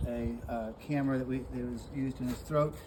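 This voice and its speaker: Noticeable background noise and audible room echo surround this man's voice. His pitch is medium, with ordinary variation. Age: 60s. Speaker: animal rescuer. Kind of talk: casual talk to camera. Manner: halting, many fillers.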